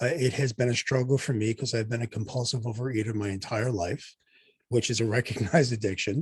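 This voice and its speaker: The voice is somewhat breathy, at a fairly quick pace. Its pitch variation is ordinary. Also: man. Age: 60s. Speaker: doctor and podcast host. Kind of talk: casual chat.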